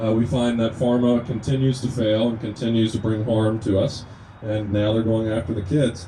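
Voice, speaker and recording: Over noticeable background noise, a man with a slight Kentucky accent speaks at a moderate pace and medium pitch, his intonation monotone and flat and his loudness very even. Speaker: naturopathic medicine student, activist speaker. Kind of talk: speech to a gathering. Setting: outdoors at a rest stop.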